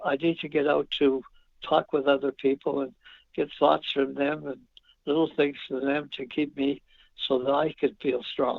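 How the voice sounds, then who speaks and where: Monotone and flat, a man with a fairly high pitch speaks at a moderate pace. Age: 80s+. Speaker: hockey coach and talent scout. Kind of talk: interview answer.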